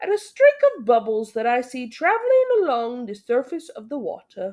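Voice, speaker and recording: In a put-on character voice, a woman speaks at a high pitch and a moderate pace. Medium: read story. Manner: breathless wonder.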